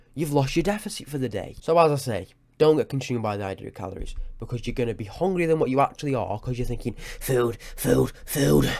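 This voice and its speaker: Talking at a very fast pace, a man with a medium pitch uses lively intonation, and vocal fry comes through. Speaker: fitness YouTuber. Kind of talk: tutorial; casual chat. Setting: home webcam recording. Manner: halting, scripted-sounding.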